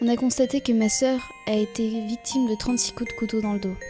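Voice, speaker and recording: Music plays in the background as a woman speaks at a moderate pace. Her pitch is fairly high and her intonation fairly even. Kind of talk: horror story reading.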